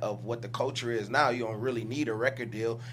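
Amid noticeable background noise and audible room echo, a man speaks very fast in a monotone, flat delivery. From Detroit. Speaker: rapper. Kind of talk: casual interview chat.

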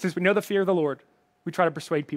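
This man has a slight Southern US accent and a high-pitched voice with ordinary pitch variation. The sound is dry and close, with no echo. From Alabama. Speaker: pastor. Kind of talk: sermon. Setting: online church service, live from worship center. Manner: informal, friendly.

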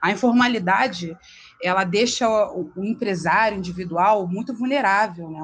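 Speaking at a moderate pace, this somewhat breathy voice shows ordinary pitch variation. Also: woman. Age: 30s. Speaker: lawyer. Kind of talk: interview explaining legal topics.

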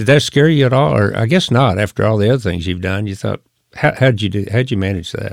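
A man talks very fast in a fairly low pitch, with vocal fry. His intonation is lively. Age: 60s. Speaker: podcast host and retired executive. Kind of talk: casual interview conversation.

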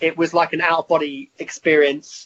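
In a southern English accent, a man with a high-pitched voice speaks at a moderate pace. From Hertfordshire, England. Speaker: rock musician. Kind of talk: interview. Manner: hesitant, many fillers.

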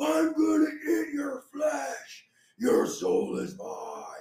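A man shouts in a put-on character voice at an extremely high pitch, with a menacing tone. He goes very slowly, and there is a slight echo. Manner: yelling, menacing.

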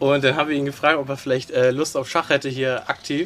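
A man with a normal speaking voice, fairly high in pitch, with fairly even intonation. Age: 20s. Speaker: youth chess coach. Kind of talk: interview. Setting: outdoors.

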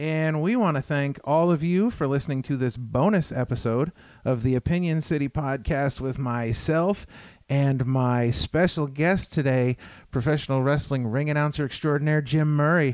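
With an unremarkable speaking voice, a man talks at a moderate pace with ordinary pitch variation and very even loudness, in a very clean recording with a silent background. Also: fairly high pitch for a man. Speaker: podcast host. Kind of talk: casual interview. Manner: frequent filler words.

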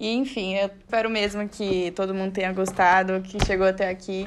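This is an unremarkable speaking voice from a woman. Her pitch is medium and her intonation fairly even. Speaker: architecture student podcast host. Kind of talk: casual interview.

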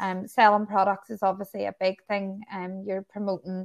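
With a Northern Irish accent, a woman talks at medium pitch in a dry, close sound with no echo. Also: quiet background. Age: 40s. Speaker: hairdresser and salon owner. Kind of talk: casual interview.

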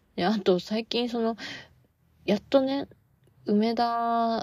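A woman's dark, mellow tone in a very clean recording over a silent background. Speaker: podcast host and part-time theatre actor. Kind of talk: casual solo podcast talk. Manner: low-energy; frequent fillers.

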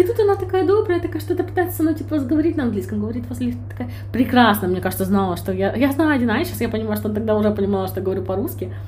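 A woman speaks at a very fast pace. Noticeable background noise and audible room echo fill the recording. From Ukraine, Kyiv. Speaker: podcast co-host. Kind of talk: casual chat. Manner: animated.

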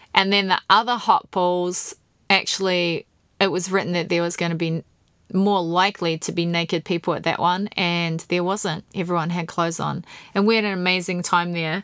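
On a very clean recording with a silent background, a woman with a New Zealand accent speaks at a moderate pace in a fairly low, monotone, flat voice. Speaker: podcast host. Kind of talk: casual monologue. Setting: home podcast room.

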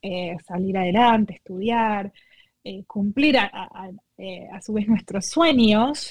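Her delivery is very slow and somewhat breathy, with ordinary pitch variation. This woman's loudness swings widely. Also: medium pitch for a woman. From Argentina. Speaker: nonprofit co-founder. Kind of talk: interview. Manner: halting.

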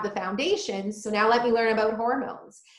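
A woman with a fairly high pitch speaks in a plain, everyday voice, keeping her intonation fairly even. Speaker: holistic nutritionist. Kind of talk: casual interview chat.

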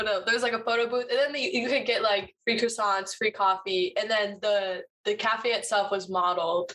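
A woman with an unremarkable speaking voice talks at a fairly high pitch and a fairly quick pace, with fairly even intonation, very even loudness, and hardly any pauses. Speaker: podcast co-host, college student. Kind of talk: casual chat.

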